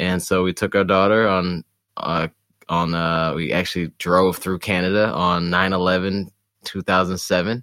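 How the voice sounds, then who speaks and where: In an American accent, a man speaks at a moderate pace with a very deep, low pitch, monotone, flat intonation and a bright, sharp tone. The very clean recording has a silent background and a dry, close sound with no echo. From Detroit area, Michigan. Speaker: runner in recovery from alcohol. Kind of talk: casual interview conversation. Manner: halting, many fillers and restarts.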